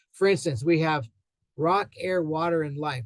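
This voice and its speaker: This man talks at a fairly quick pace, his voice somewhat breathy and his intonation fairly even. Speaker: soil scientist. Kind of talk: lecture. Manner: fast; halting.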